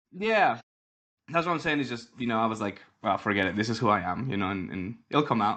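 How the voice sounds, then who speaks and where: An animated tone with lively intonation, in a Mexican accent. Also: man, medium pitch for a man. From Mexico City. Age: 30s. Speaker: grappling league founder. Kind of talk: interview. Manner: halting, many fillers and repeats.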